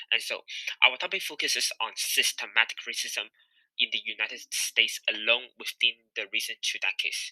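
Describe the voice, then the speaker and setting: Speech at a moderate pace with a non-native accent. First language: not English. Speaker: student presenter. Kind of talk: class presentation.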